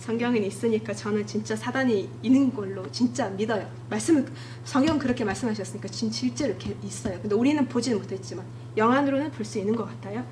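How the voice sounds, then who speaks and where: A woman talks at a very fast pace. Noticeable background noise and audible room echo surround her. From Mongolia. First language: Mongolian (speaking Korean). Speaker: church member giving testimony. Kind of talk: testimony. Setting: church. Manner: halting.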